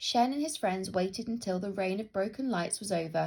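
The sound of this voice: An unforced reading voice moves through ordinary shifts in pitch.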